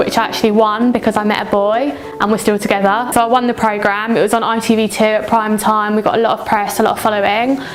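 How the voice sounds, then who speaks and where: A woman's fairly high voice comes through with music playing behind it. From southern England, West Sussex. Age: 20s. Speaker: model and reality TV contestant. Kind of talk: interview.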